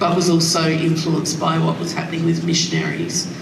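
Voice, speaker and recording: A woman with an Australian accent speaks at fairly low pitch. Audible room echo and noticeable background noise come through. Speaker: daughter introducing speaker. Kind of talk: talk introduction. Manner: hesitant, many fillers; quiet.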